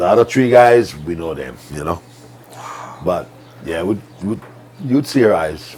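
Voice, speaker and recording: Through noticeable background noise, a man with a very deep, low pitch speaks with very wide pitch swings, big swings in loudness, and long, frequent pauses. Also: fairly slow pace. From Hawaii, Maui. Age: 60s. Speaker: ranch cowboy. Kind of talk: casual chat.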